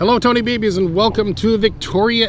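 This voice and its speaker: A man speaks at a moderate pace. The sound is dry with no echo, with light background noise. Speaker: travel vlogger. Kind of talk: casual vlog chat. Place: waterside.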